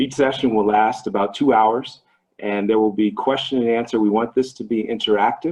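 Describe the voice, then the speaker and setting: A man's medium-pitched voice with a Midwestern US accent, fairly even intonation and a fairly quick pace. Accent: US Midwest. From Ohio, US. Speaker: business trainer, investment advisor. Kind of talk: online training presentation.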